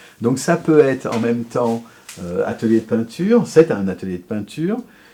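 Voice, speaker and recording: Amid noticeable background noise, a man of medium pitch speaks with lively intonation. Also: moderate pace. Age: 60s. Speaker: sculptor. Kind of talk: interview. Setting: home workshop. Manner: halting, many fillers.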